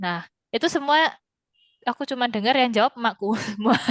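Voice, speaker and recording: With a strong Javanese accent, a woman speaks in a bright, sharp tone with ordinary pitch variation, the sound dry and close with no echo. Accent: thick Javanese. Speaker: Mandarin language teacher. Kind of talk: online class chat. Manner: casual, with Javanese slang.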